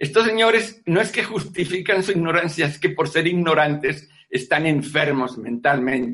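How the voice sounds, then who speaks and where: A man speaks at a moderate pace with hardly any pauses, his pitch fairly high and his intonation lively. His tone is bright and sharp. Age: 80s+. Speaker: veterinarian and natural health lecturer. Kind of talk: online lecture.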